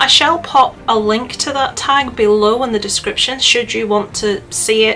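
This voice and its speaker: A woman talks at a moderate pace in a Northern Irish accent. Noticeable noise sits in the background. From Northern Ireland. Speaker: YouTuber. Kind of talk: casual vlog chat. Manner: animated, chatty with fillers.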